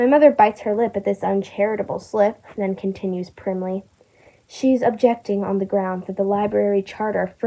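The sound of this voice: An unforced reading voice with fairly even intonation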